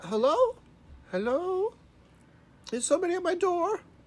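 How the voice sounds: An extremely high, put-on character voice is heard here. It moves at a moderate pace.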